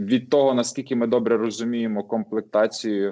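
The man has an unremarkable speaking voice, pitched fairly low. His pace is moderate. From western Ukraine, Lviv. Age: 30s. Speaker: IT project manager. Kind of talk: casual chat.

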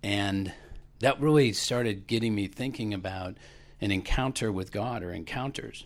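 A plain, everyday voice from a man, fairly low in pitch, with ordinary pitch variation and a moderate pace, in a very clean recording with a silent background. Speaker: class member sharing testimony. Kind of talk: testimony.

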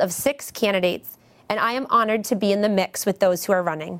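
At a fairly quick pace, an unremarkable speaking voice, its pitch varying in an ordinary way. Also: woman. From Massachusetts, Beverly. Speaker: city council candidate. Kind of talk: campaign statement.

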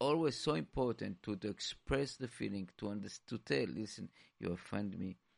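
A man speaks at a moderate pace with a fairly low pitch. The sound is dry and close, with no echo. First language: not English. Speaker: radio co-host. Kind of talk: radio talk show. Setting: studio. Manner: halting.

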